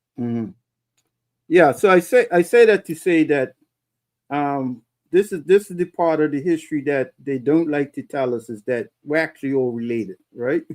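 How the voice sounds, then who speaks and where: A man with a Bermudian accent speaks at a moderate pace, his fairly high voice moving with lively intonation. The sound is dry and close with no echo, a very clean recording over a silent background. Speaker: talk show host. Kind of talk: casual interview.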